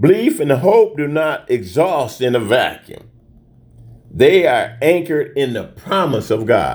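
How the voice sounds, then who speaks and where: At a fairly slow pace, a man speaks at a fairly high pitch with vocal fry and very wide pitch swings. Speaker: deacon teaching Sunday school lesson. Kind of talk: Bible lesson teaching with prayer. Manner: formal, preacherly.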